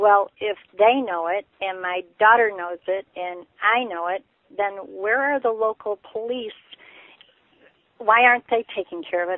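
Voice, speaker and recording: With a normal speaking voice, a woman of fairly high pitch talks at a moderate pace. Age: 60s. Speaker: caller. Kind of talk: call-in question. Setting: phone call.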